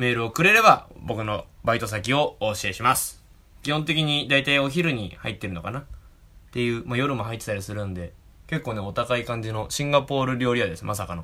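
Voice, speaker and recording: Talking at a fairly quick pace, a man with a medium pitch and a bright, sharp tone uses lively intonation. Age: 20s. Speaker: podcast host. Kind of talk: casual chat.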